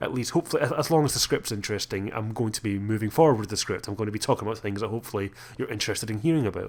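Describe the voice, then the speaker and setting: A man with a Scottish accent and lively intonation. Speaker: gaming YouTuber. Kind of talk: video commentary. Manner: halting.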